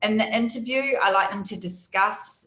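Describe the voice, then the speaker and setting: A woman speaks at a fairly slow pace with a New Zealand accent. Her pitch varies in an ordinary way, and music plays in the background. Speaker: data analytics team lead and conference speaker. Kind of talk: conference presentation. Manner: hesitant, many fillers.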